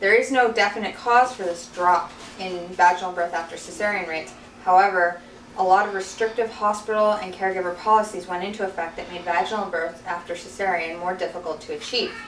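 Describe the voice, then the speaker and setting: A woman's medium-pitched voice at a fairly quick pace, with big swings in loudness and noticeable background noise. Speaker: birth doula; college student. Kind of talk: class informative speech. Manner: hesitant, stammering.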